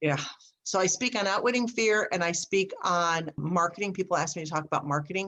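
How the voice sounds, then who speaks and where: The voice has a bright, sharp tone and ordinary pitch variation, moving at a fairly quick pace. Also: woman, medium pitch for a woman. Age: 60s. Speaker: speaker and business coach. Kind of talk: casual interview chat.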